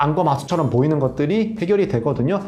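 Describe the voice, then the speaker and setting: A man's high voice with lively intonation, audible room echo and music in the background. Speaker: plastic surgeon. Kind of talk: expert explanation in casual chat. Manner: fast.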